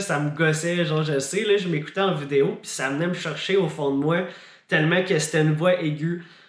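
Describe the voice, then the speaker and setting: A man at a moderate pace, his intonation fairly even, with audible room echo. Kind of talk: casual vlog.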